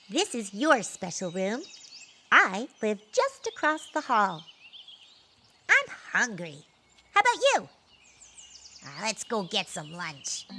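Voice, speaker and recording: In a put-on character voice, a female-sounding voice with a fairly high pitch and a bubbly tone moves at a fairly slow pace with long, frequent pauses. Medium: audio drama. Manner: bubbly, eager.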